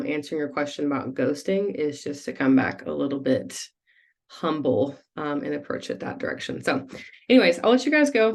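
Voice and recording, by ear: A woman puts on a character voice that is raspy and hoarse at a very deep, low pitch. She speaks at a fairly quick pace.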